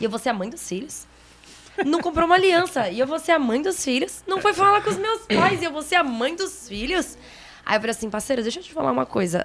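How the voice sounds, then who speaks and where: Her pitch swings very widely as a woman talks at a fairly quick pace. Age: 30s. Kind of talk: testimony. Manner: animated.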